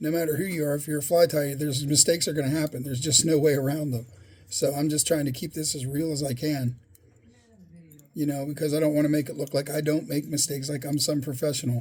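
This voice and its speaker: A somewhat breathy man talks at a fairly quick pace in a fairly high pitch with monotone, flat intonation. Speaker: fly tying hobbyist YouTuber. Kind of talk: tutorial. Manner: halting, self-correcting; casual, conversational.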